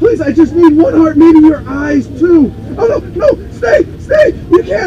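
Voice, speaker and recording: The speech moves at a moderate pace. Clear background noise can be heard. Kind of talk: haunted attraction acting. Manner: frantic, pleading, melodramatic shouting.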